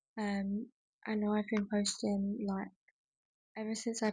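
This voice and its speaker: With an English accent, a woman speaks at a moderate pace and medium pitch, somewhat breathy and in a monotone, flat intonation. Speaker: content creator. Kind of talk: casual vlog talk. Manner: casual, many fillers.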